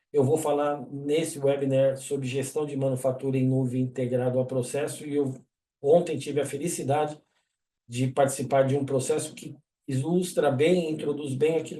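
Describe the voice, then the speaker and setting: At a moderate pace, a man speaks with a dark, mellow tone, a fairly high pitch and fairly even intonation. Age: 60s. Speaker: engineer and webinar presenter. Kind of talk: webinar presentation. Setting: online webinar. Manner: casual, conversational.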